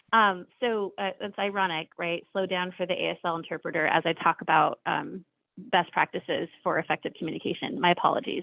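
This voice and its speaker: A woman with an ordinary speaking voice talks at a fairly quick pace. Her pitch is fairly low, with ordinary variation. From US Southwest, Arizona. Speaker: government official, keynote speaker. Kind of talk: keynote presentation. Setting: virtual conference, online.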